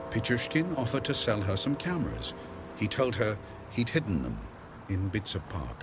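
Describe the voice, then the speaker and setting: A man's fairly low voice at a moderate pace, with very wide pitch swings, long, frequent pauses and noticeable background noise. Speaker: documentary narrator. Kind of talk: true-crime documentary narration. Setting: studio voiceover. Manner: measured, grave, dramatic, steady pacing.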